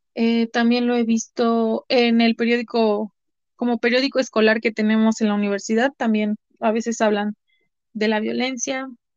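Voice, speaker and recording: In a central Mexican accent, a woman speaks with a fairly high pitch and monotone, flat intonation, the sound dry and close with no echo. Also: moderate pace. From Mexico, Puebla. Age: 20s. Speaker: university student. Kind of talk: interview. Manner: halting.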